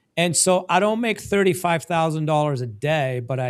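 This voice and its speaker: The recording is very clean, with a silent background, as a man talks at a fairly slow pace in a fairly high pitch. It is an ordinary speaking voice with lively intonation. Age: 50s. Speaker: podcast host, dentist. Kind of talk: casual interview chat.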